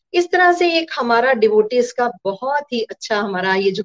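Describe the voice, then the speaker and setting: An unremarkable speaking voice moves with ordinary pitch variation. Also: woman. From Punjab, India (Gurdaspur). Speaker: math teacher. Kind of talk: testimony.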